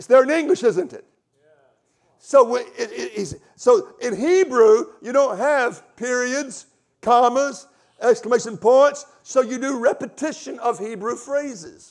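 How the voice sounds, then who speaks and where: With a Southern US accent, a man speaks at an extremely high pitch and a fairly slow pace, showing ordinary pitch variation, big swings in loudness, and long, frequent pauses. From US South. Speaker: visiting preacher and Bible teacher. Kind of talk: sermon. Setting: church stage with congregation.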